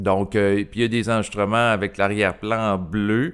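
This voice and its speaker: A man with a Quebec accent speaks at a fairly slow pace in a fairly low pitch, his intonation fairly even, on a very clean recording with a silent background. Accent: Québécois French. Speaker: YouTuber, personal development channel. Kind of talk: casual monologue to camera. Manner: hesitant, many fillers.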